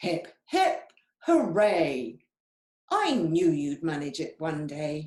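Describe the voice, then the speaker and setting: A put-on character voice at a middle pitch creeps along very slowly, with hissing. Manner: congratulating.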